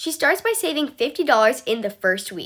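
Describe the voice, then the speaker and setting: A woman's raised, projected voice, bright and sharp in tone, with very wide pitch swings at a moderate pace. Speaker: math tutor on video channel. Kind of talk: tutorial.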